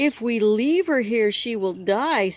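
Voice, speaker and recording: Using a put-on character voice, a woman speaks at a fairly high pitch. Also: fairly slow pace. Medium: read story.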